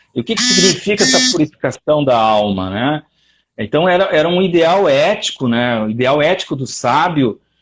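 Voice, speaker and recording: His pitch fairly high, a man speaks at a moderate pace with very wide pitch swings. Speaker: lecturer on philosophy. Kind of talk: online lecture. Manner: animated, many fillers.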